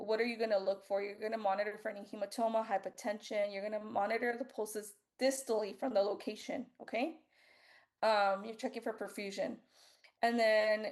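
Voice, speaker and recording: Over a quiet background, a woman talks at a moderate pace with a fairly high pitch. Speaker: nursing student tutor. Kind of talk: review session. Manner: casual.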